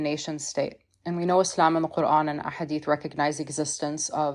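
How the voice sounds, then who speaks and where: Very fast, monotone delivery with an American accent, flat in intonation, on a very clean recording with a silent background. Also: woman. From US Midwest (Missouri). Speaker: researcher, podcast guest. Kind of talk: podcast discussion. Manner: many fillers (you know, like).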